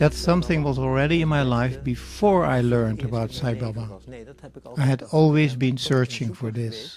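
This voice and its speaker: With a somewhat airy quality, the man talks at neither a fast nor a slow tempo. His pitch is mid-range and its variation is ordinary. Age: 70s. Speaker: spiritual devotee. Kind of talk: testimony.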